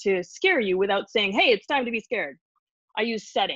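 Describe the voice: Quiet background behind plain reading aloud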